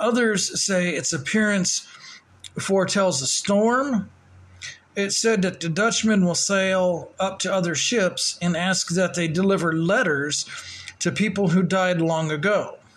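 In a Southern US accent, a man with a high voice talks at a fairly slow pace with ordinary pitch variation and very even loudness over noticeable background noise. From US South. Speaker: podcast host. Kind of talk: casual chat. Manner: casual, chatty.

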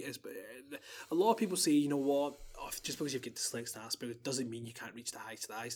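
With a Glaswegian accent, a man speaks very fast at a fairly high pitch. His intonation is lively, and his loudness swings widely. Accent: Glaswegian Scottish. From Scotland, Glasgow. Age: 20s. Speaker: podcast guest. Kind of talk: casual chat.

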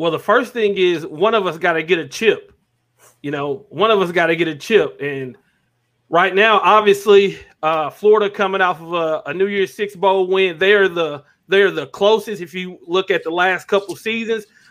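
Speaking at a moderate pace, a man with a high-pitched voice shows ordinary pitch variation. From Arkansas, US South. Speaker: YouTube sports content creator. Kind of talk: podcast interview.

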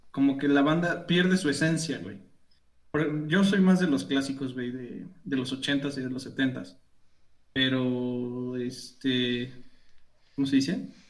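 Through audible room echo, a man with a Mexican accent speaks at a medium pitch with ordinary pitch variation and long, frequent pauses. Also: fairly slow pace. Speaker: podcast co-host. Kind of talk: casual chat.

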